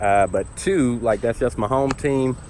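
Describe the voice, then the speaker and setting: A man with an American accent, medium pitch and a fairly slow pace. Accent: slight Southern, speech classes to reduce. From US South (Tennessee, Georgia). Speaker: YouTuber. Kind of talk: personal vlog monologue. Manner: casual, many fillers.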